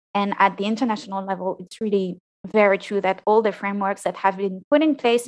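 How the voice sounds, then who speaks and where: A woman with a French accent, medium-pitched, fairly quick, with ordinary pitch variation and a dry, close sound with no echo. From France. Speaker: postdoctoral climate researcher. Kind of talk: interview, casual professional conversation. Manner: hesitant, with fillers and repeats.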